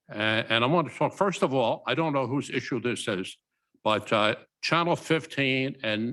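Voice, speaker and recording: On a very clean recording with a silent background, a man speaks at a medium pitch. His tone is bright and sharp, with lively intonation. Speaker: council member. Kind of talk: council meeting discussion. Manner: loud.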